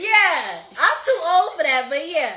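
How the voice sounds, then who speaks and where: A woman in an animated tone uses a raised, projected voice, with noticeable background noise and audible room echo. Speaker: podcast host. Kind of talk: casual chat. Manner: loud.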